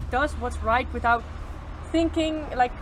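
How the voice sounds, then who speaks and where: A woman with a Dutch accent over noticeable background noise. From Netherlands. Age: 20s. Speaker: traveller. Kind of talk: casual interview.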